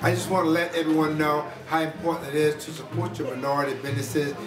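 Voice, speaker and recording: Speech comes at a very fast pace with music in the background. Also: man. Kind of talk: testimonial to camera.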